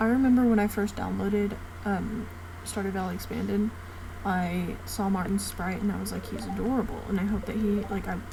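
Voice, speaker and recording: There is audible room echo and noticeable background noise around a woman's voice. She speaks at a moderate pace. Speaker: gaming youtuber. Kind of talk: casual gameplay commentary. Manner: hesitant, many fillers. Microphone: no mic, computer mic, quiet audio.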